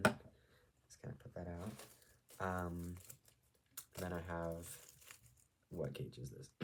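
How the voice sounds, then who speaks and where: A man does the talking. His voice sits very deep and low. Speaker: video blogger. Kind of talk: tutorial. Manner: casual, hesitant with fillers.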